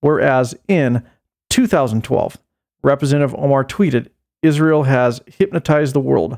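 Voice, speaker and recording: A man with an American accent talks at a moderate pace in an ordinary speaking voice, fairly high-pitched with ordinary pitch variation. The recording is very clean with a silent background and a dry, close sound with no echo. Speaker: podcast host. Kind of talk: angry political rant. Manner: indignant, raised voice, fiery.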